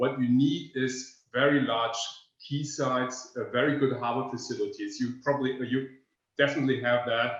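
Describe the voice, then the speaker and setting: A man with a German accent at a moderate pace and medium pitch, monotone and flat, with audible room echo. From northern Germany, near Danish border. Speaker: energy researcher. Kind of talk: webinar presentation. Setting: online webinar. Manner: halting, many fillers.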